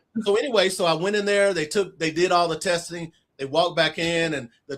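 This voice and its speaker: Speaking at a fairly quick pace, a man with an Arkansas accent uses a fairly high pitch. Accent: Southern US (Arkansas). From US South (Arkansas). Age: 60s. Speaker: author. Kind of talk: interview storytelling.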